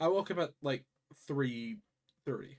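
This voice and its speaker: Quiet speech at a very slow pace. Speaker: video game streamer. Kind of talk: live gameplay stream chat. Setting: live stream. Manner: casual, filler-heavy.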